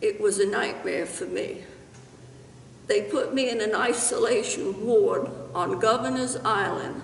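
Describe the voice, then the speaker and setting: Speaking at a very slow pace, a woman is heard with audible room echo and noticeable background noise. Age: 80s+. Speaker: church member. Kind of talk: testimony. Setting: in front of a camera. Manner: halting.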